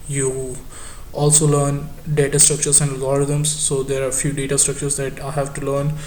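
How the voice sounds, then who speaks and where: A man with a fairly high pitch speaks at a fairly quick pace in a monotone, flat intonation, with audible room echo and noticeable background noise. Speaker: student vlogger. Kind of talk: casual vlog monologue. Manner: halting, many fillers and repetitions.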